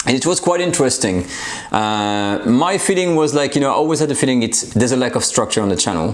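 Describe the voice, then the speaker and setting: In a French accent, a man races at a very fast pace with a medium pitch, very wide pitch swings and very even loudness. Noticeable background noise and audible room echo sit behind him. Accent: French accent, slightly anglicized. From France. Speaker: cooking channel host. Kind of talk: casual vlog channel update. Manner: halting, many fillers.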